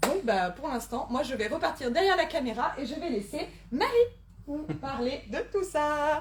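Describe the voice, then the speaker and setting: A loud voice with lively intonation moves at a fairly slow pace amid noticeable background noise and audible room echo. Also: woman, high pitch for a woman. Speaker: event organizer and host. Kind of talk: event introduction. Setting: live conference, in person and online. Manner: speaking loudly.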